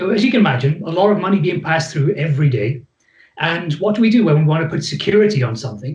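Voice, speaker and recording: With a Welsh accent, a man talks at a very fast pace, his fairly high pitch carried by lively intonation. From Wales. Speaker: psychologist. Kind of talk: presentation to host.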